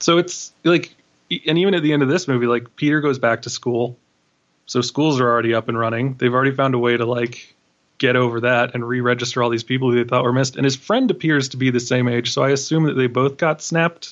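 A man talks at a very fast pace with an American accent. His pitch sits in the medium range and his intonation stays fairly even. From New York City, Queens. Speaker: film critic and podcast host. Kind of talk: casual chat.

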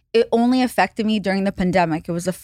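A woman's medium-pitched, normal speaking voice with ordinary pitch variation, dry and close with no echo, on a very clean recording with a silent background. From Russia and Israel, moved to Los Angeles as a teen. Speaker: podcaster and internet personality. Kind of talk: casual chat.

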